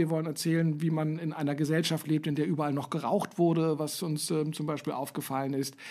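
A man's fairly high voice with a dark, mellow tone at a fairly quick pace, on a very clean recording with a silent background. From West Berlin. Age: 50s. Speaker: podcast host, marketing lecturer. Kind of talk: casual chat.

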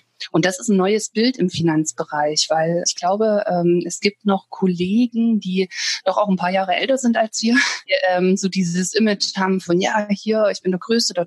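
Over noticeable background noise, a woman speaks at a moderate pace and medium pitch with ordinary pitch variation, her voice dry and close with no echo. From Thuringia, Germany. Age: 30s. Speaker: financial advisor. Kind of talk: interview. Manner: hesitant fillers.

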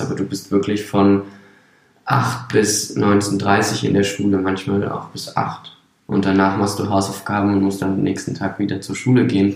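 In a room with audible echo, a man speaks fairly slowly at a fairly low pitch. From Brandenburg, Germany. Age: 20s. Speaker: circus artist. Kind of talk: interview.

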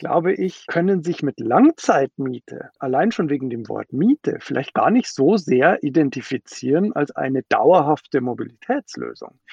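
With pitch swinging very widely, a man talks in a dry, close sound with no echo. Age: 30s. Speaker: startup founder and CEO. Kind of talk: interview.

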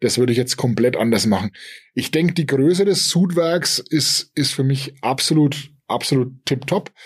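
On a very clean recording with a silent background, a somewhat breathy man with a fairly high voice speaks at a moderate pace. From Upper Franconia, Germany. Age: 40s. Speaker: craft brewery owner and software developer. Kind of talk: interview. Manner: halting, many fillers.

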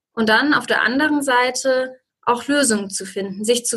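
A woman's high-pitched voice with a bright, sharp tone and fairly even intonation. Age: 20s. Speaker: master's student and researcher. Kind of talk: podcast interview.

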